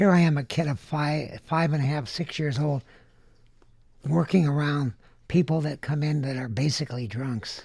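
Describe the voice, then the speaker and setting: The voice is somewhat breathy, with an American accent. Its pitch variation is ordinary. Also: man, fairly high pitch for a man, moderate pace. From Southern California (Van Nuys). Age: 70s. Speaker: candy inventor. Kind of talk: interview.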